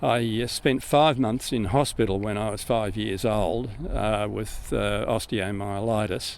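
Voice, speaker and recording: A man with an Australian accent and a fairly low voice speaks at a fairly slow pace with hardly any pauses and fairly even intonation. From Australia, central New South Wales. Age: 80s+. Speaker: retired navy pilot and airline captain, museum guide. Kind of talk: interview. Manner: hesitant with fillers.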